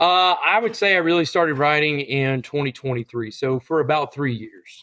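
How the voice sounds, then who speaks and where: Speaking in a plain, everyday voice, a man keeps a moderate pace. His fairly high pitch carries lively intonation. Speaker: high school English teacher and country songwriter. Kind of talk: interview answer.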